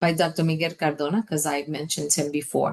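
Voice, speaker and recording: A woman speaks with a Spanish accent at a moderate pace. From New York City (Washington Heights, Manhattan). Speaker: education advocate. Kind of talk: webinar presentation. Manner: impassioned.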